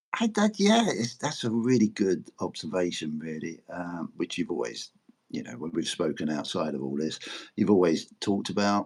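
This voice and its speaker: A man with an ordinary speaking voice speaks at a fairly low pitch with lively intonation. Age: 60s. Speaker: precious metals YouTuber. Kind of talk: casual chat.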